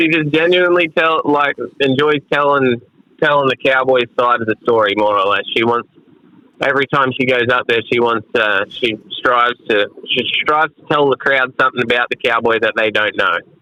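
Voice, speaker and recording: A man's voice with ordinary pitch variation and very even loudness. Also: medium pitch for a man, moderate pace. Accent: Australian. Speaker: rodeo cowboy. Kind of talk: casual chat. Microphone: bad connection, drops out.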